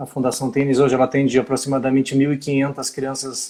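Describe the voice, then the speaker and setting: Speaking at a very fast pace, a man with a southern Brazilian accent has a fairly high pitch. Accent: southern Brazilian (gaúcho). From southern Brazil, Rio Grande do Sul. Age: 50s. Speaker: physical education teacher. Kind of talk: live-stream interview. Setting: Instagram live video.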